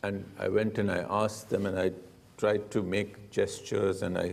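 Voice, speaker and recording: A man with a Punjabi accent and a fairly low pitch speaks amid audible room echo. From India. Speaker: diplomat. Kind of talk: interview on stage. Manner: hesitant, many fillers.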